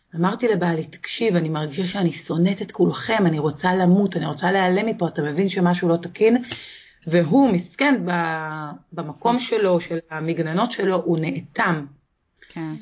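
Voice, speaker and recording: Her voice sits at a fairly low pitch and is somewhat breathy, moving at a moderate pace with ordinary pitch variation. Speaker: author. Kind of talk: interview.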